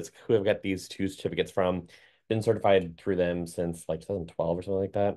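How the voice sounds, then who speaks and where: Very fast speech from a man at a fairly low pitch, dark and mellow in tone. The background is quiet. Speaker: certified dog trainer. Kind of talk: lecture. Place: home room. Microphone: webcam.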